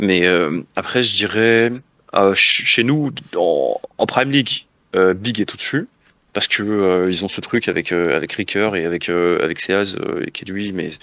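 A man's fairly low voice at a very slow pace, with ordinary pitch variation and long, frequent pauses. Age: 20s. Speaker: esports coach. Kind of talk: casual interview. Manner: halting.

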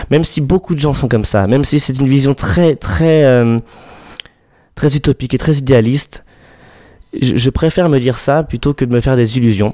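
The tone is dark and mellow, with very even loudness and ordinary pitch variation. Delivery is at a moderate pace with long, frequent pauses. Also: man, medium pitch for a man. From Paris region, France. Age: 20s. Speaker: musical theatre student. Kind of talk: interview.

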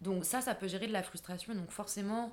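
A woman's unremarkable speaking voice at a moderate pace with fairly even intonation. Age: 20s. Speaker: humanitarian logistician. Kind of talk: interview.

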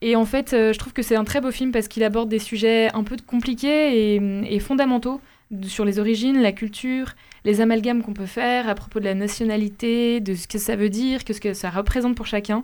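A woman speaks at a fairly quick pace with fairly even intonation. Hers is a plain, everyday voice. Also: fairly high pitch for a woman. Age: 20s. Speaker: radio panelist. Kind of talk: casual chat.

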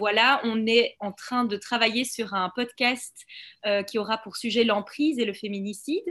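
A woman's fairly high voice at a fairly slow pace, with ordinary pitch variation and a normal speaking voice. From Belgium. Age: 30s. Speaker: documentary filmmaker. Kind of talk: interview.

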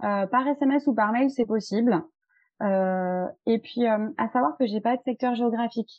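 Somewhat breathy and fairly high in pitch, a woman speaks with ordinary pitch variation. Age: 30s. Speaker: wealth management advisor. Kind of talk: interview.

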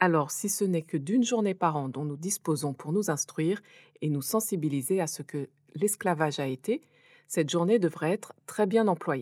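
In a very clean recording with a silent background and a dry, close sound with no echo, a woman speaks at a fairly low pitch and a moderate pace. She has an unremarkable speaking voice with lively intonation. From France. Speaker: podcast host. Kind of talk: scripted narration.

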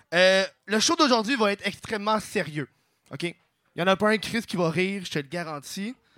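A man's raised, projected voice, high-pitched with a bright, sharp tone, at a moderate pace and with a dry, close sound with no echo. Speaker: comedian. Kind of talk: stand-up.

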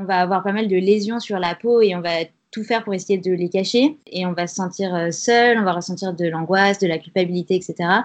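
A woman in a normal speaking voice at a moderate pace. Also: medium pitch for a woman, fairly even intonation. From France, Grenoble. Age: 20s. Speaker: freelance content writer sharing her recovery story. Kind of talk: interview testimony.

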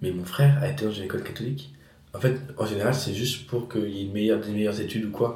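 Very fast male speech in audible room echo, with noticeable background noise. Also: medium pitch for a man, ordinary pitch variation. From France, Yonne. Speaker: podcast host and comedian. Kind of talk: casual chat. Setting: at guest's home.

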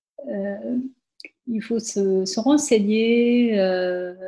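A woman speaks at a medium pitch with a dark, mellow, somewhat breathy tone. Her intonation stays fairly even. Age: 30s. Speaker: systems engineer. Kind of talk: casual interview.

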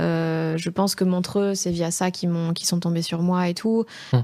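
Speaking at a moderate pace with flat, monotone intonation, a woman with a fairly low voice is heard against noticeable background noise. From Belgium, rural province. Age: 20s. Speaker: comedian. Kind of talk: casual chat. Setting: studio.

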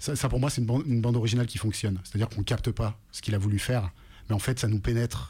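A man speaks at a very fast pace with a medium pitch, a dark, mellow tone and a somewhat breathy quality, his intonation fairly even. The recording is very clean with a silent background. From France, Lyon. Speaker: author and rapper. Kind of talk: radio interview.

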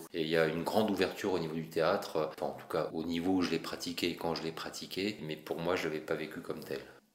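Against noticeable background noise, a man with a very deep, low pitch rushes along at a very fast pace with hardly any pauses in a monotone, flat delivery. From France, Paris region (Essonne). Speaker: mosaic artist. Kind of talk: interview.

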